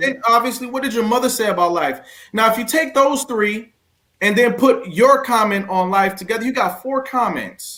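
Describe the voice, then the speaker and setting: An extremely high-pitched man with a bright, sharp tone and a raised, projected voice, at a moderate pace with ordinary pitch variation. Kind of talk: motivational talk; interview host.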